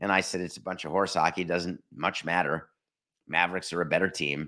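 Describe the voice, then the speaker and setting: This man has a very deep, low pitch, a bright, sharp tone and some vocal fry. He talks at a fairly quick pace on a very clean recording with a silent background. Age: 50s. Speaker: sports podcast host. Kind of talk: solo podcast monologue. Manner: animated.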